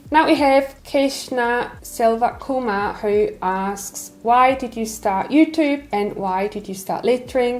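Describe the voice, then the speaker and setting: A woman's high-pitched voice at a very slow pace with hardly any pauses, over noticeable background noise. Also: ordinary pitch variation. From Switzerland. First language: Swiss German. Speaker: lettering artist and YouTuber. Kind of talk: casual Q&A chat.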